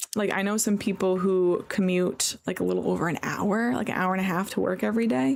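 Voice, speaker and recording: Speaking at a fairly quick pace, a woman with an American accent has a medium pitch and ordinary pitch variation. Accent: New York accent noticed by Californians. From New York. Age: 20s. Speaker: game streamer. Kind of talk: casual chat. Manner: casual, filler-heavy.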